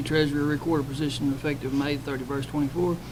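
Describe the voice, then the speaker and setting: Mumbling at a very fast pace with a Southern US accent, a man speaks in a fairly high pitch with monotone, flat intonation, amid noticeable background noise and audible room echo. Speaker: city council member. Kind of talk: reading aloud. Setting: council meeting.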